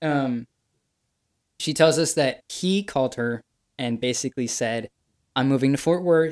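With long, frequent pauses, a man talks fairly slowly at a fairly high pitch and ordinary pitch variation, the recording very clean with a silent background and a dry, close sound with no echo. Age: young. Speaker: podcast guest, host's younger brother. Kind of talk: casual chat.

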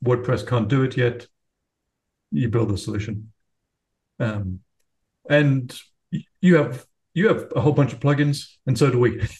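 Somewhat breathy, a man speaks at a moderate pace and medium pitch with ordinary pitch variation and long, frequent pauses. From England. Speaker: software company founder. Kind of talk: casual interview.

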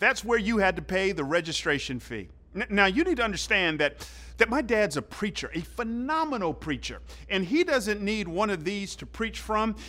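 A man with an American accent speaks in a raised, projected voice at a moderate pace. His pitch is high, his tone bright and sharp, and his intonation lively. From US South, Georgia (Fairburn, south of Atlanta). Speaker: pastor. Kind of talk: sermon.

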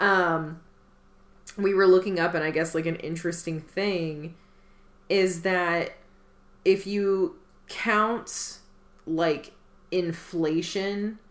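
Very slow speech with long, frequent pauses, fairly even intonation and audible room echo. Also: woman. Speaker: podcast co-host. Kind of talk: casual chat.

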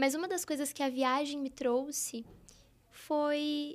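A woman speaks at a fairly slow pace with a high pitch and fairly even intonation, in a very clean recording with a silent background. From interior of São Paulo state (Araçatuba). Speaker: women's mentor and therapist. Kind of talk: podcast interview.

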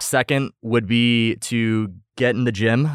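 This man has an ordinary speaking voice at medium pitch, with fairly even intonation. The sound is dry and close with no echo, very clean against a silent background. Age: 20s. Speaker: physician assistant student and fitness coach. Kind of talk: casual podcast interview.

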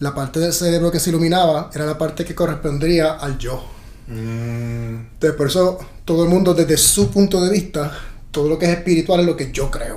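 A man with a normal speaking voice talks at a moderate pace, with fairly high pitch and ordinary pitch variation. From Puerto Rico. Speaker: actor. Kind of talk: casual chat.

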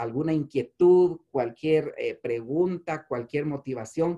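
At a fairly slow pace, a man with an ordinary speaking voice and a fairly high pitch talks with ordinary pitch variation. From Guatemala, Chimaltenango. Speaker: insurance entrepreneur and migrant activist. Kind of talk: personal testimony.

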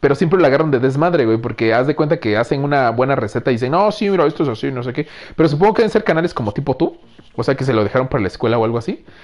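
The delivery is very fast, with lively intonation. The tone is animated. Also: man, fairly high pitch for a man. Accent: Mexican. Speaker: podcast host. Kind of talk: casual chat; show intro. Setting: live stream.

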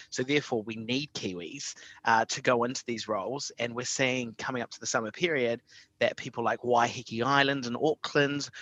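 The delivery moves at a moderate pace with fairly even intonation, the sound dry and close with no echo. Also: man. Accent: New Zealand. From New Zealand, Invercargill. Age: 30s. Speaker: tourism program director. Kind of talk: podcast interview.

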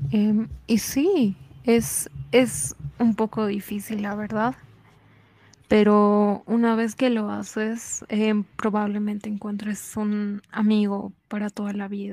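A woman speaks at a medium pitch with a dark, mellow tone. Her delivery is somewhat breathy, with monotone, flat intonation. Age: 20s. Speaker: podcaster guest. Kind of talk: casual chat.

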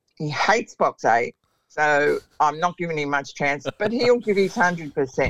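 With an Australian accent, a woman speaks at a fairly slow pace in a fairly low pitch. Her intonation is lively, and the sound is dry and close with no echo. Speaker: greyhound trainer. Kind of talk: interview.

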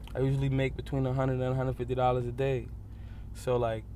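A very fast-talking man, with audible room echo. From New York, the Bronx. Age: 20s. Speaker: subway musician. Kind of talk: interview.

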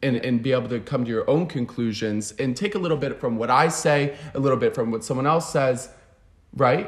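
A man's medium-pitched, somewhat breathy voice with an American accent. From Florida (Fort Lauderdale). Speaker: show jumping rider and entrepreneur. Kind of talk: casual interview. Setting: in person, on a couch.

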